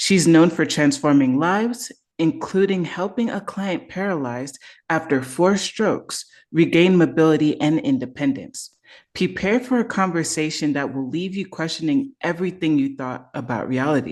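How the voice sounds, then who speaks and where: With a slight Jamaican accent, the speaker goes at a moderate pace against a quiet background. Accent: light Caribbean, Jamaican. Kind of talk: polished broadcast host intro.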